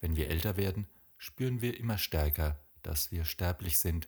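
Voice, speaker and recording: Lively in intonation and somewhat breathy, a man speaks at a very deep, low pitch. The recording is very clean, with a silent background. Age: 50s. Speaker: podcast host. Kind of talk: reflective monologue.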